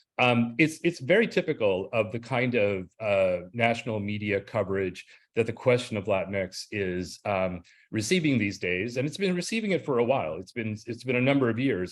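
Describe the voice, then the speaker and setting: Against a quiet background, the speaker moves at a moderate pace with ordinary pitch variation. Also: man. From Southern California, Los Angeles area (born in Cuba). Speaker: professor. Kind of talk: lecture. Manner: halting, many fillers.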